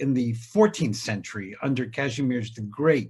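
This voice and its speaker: A somewhat breathy man's voice of medium pitch, at a fairly slow pace with ordinary pitch variation. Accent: American. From US South, Savannah, Georgia. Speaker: historian, writer and filmmaker. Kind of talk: panel discussion.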